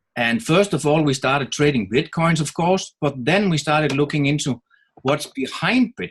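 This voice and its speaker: A man with a Danish accent and a somewhat breathy voice speaks at a moderate pace, his fairly high pitch rising and falling with lively intonation. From Denmark. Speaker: network marketer. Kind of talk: webinar presentation.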